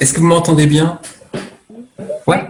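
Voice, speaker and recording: This is a man speaking. His pace is very slow. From France, rural farming family. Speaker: cheese-making farmer. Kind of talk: online panel interview.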